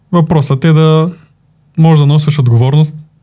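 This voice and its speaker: A man talks at a fairly quick pace in a dark, mellow, somewhat breathy tone. His intonation stays fairly even. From Bulgaria, Plovdiv region. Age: 20s. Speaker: video editing team manager. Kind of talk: casual interview.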